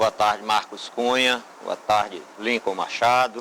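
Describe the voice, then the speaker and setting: Very slowly and in a flat monotone, a man speaks at a medium pitch with a bright, sharp tone. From Brazil, Ceará (Horizonte). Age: 60s. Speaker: mayoral candidate, civil engineer. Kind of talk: political debate statement. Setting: TV studio.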